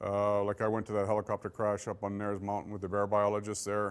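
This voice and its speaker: A man speaks with a Canadian accent in a fairly low pitch. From Saskatchewan, Canada. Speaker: police forensic investigator; police forensics instructor. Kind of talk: lecture. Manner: casual and conversational, with many fillers. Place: meeting room.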